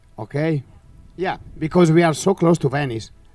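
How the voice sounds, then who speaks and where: In an Italian accent, a man speaks with a dry, close sound with no echo. Music plays in the background. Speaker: championship bid presenter. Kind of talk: bid presentation. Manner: halting.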